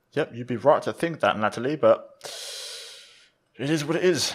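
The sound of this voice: A man talks at a moderate pace with a medium pitch and lively intonation. His voice has a slightly husky edge.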